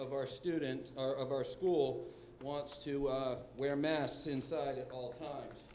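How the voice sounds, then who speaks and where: Over noticeable background noise and audible room echo, a man speaks at a fairly slow pace. His pitch is fairly high, and his intonation is monotone and flat. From New Hampshire. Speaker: public commenter at school board meeting. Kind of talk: public comment. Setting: school board meeting room. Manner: loud.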